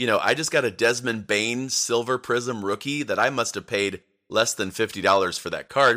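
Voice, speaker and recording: In a very clean recording with a silent background, a man speaks at a moderate pace and medium pitch, his tone bright, sharp, animated and energetic. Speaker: podcast host about basketball cards. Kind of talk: casual solo podcast talk. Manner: animated, energetic.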